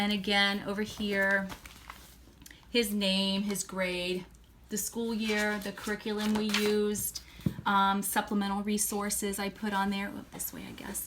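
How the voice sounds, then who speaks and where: Amid noticeable background noise and audible room echo, a woman of medium pitch speaks at a fairly slow pace in a monotone, flat way, with big swings in loudness. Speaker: homeschooling parent vlogger. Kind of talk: tutorial.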